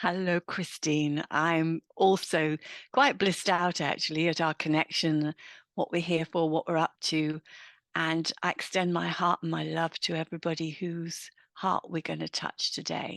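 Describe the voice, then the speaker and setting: A woman with an English accent speaks at a fairly slow pace in a fairly low pitch and a monotone, flat intonation. The sound is dry and close with no echo, over a quiet background. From England. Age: 60s. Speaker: midlife women's mentor. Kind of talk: interview.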